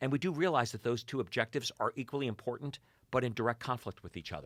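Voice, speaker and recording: A man speaks very fast with vocal fry. The sound is dry and close with no echo, on a very clean recording with a silent background. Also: medium pitch for a man, lively intonation. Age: 60s. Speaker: financial advisor educator. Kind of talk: interview conversation.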